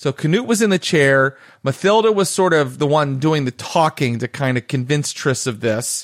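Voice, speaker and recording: A man speaks in a normal speaking voice, fairly high-pitched, with lively intonation at a moderate pace and hardly any pauses. The recording is very clean with a silent background and a dry, close sound with no echo. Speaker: game master. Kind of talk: tabletop roleplaying game session.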